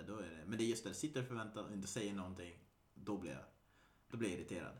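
A man talks at a very fast pace in a fairly low pitch, his intonation lively. Room echo is audible. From Sweden, Västergötland (Mariestad area). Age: 30s. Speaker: podcast host. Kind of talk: casual chat.

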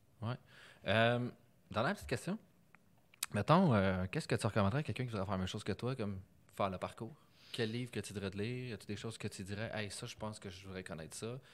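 In a Quebec accent, the speaker talks at a very fast pace with long, frequent pauses and ordinary pitch variation, on a very clean recording with a silent background. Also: man, fairly low pitch for a man. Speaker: podcast host, data science. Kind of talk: casual interview. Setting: recorded in Montreal, not usual studio.

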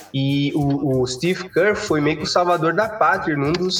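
Noticeable background noise sits behind a man's voice. He speaks at a fairly slow pace with a fairly high pitch. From Cape Verde. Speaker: engineering student. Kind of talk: casual chat.

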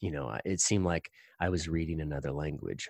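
In a very clean recording with a silent background, a man with an American accent speaks at a very deep, low pitch with vocal fry and ordinary pitch variation, the sound dry and close with no echo. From US Midwest, Indiana. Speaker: yoga and sound therapy teacher, former university chaplain. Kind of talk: casual interview.

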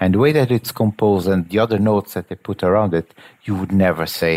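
In a Portuguese accent, a man with a very deep, low pitch talks at a fairly quick pace. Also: dry, close sound with no echo. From Portugal. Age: 40s. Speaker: agile coach and musician. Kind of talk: casual chat.

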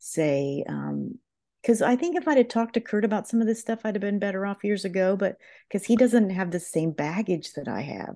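A voice with an American accent, a dark, mellow tone and lively intonation comes through over a quiet background. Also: woman. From southern Ohio. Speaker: professional counselor. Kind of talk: interview conversation.

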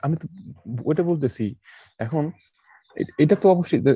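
The recording is dry and close, with no echo and a quiet background. A man speaks in a dark, mellow tone with lively intonation. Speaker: podcast co-host. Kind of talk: casual chat.

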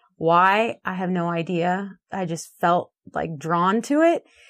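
This woman has a plain, everyday voice at medium pitch. Her pitch varies in an ordinary way. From northern California. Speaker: ranch wife and agriculture educator. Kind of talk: interview.

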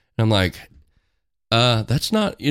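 Medium-pitched man with a Midwestern US accent, moderate pace, on a very clean recording with a silent background. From rural Missouri. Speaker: school district worker. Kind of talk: casual chat.

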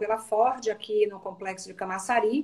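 A woman talks at a fairly slow pace with a fairly high pitch. She has a plain, everyday voice. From Bahia, Brazil (Salvador). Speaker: HR executive. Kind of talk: live-stream interview.

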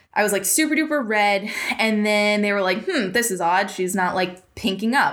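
A woman with an American accent talks at a moderate pace in a fairly high pitch, with ordinary pitch variation. Audible room echo surrounds her voice. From Worcester, Massachusetts. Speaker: heart defect patient advocate. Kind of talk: interview.

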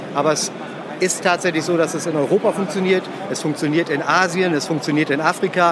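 Against noticeable background noise, a man with a high pitch speaks fairly quickly in a monotone, flat intonation. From Emsland, northwest Germany. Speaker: fishing lure company owner. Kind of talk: trade fair interview. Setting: trade fair.

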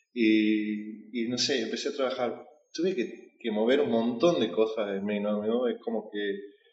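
The speech comes at a fairly slow pace, with audible room echo. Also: man, medium pitch for a man, ordinary pitch variation. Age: 20s. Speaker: life coach. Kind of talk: interview conversation. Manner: halting, many repetitions and fillers.

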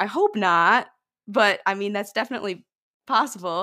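On a very clean recording with a silent background, a woman with an ordinary speaking voice and an American accent talks at a medium pitch and moderate pace with ordinary pitch variation. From Michigan, US. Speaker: musician. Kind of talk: casual interview chat.

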